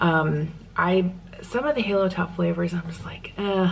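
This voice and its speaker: Soft-spoken and fairly low-pitched, a woman talks with ordinary pitch variation over noticeable background noise. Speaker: lifestyle vlogger. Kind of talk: casual vlog talk to camera. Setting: at home.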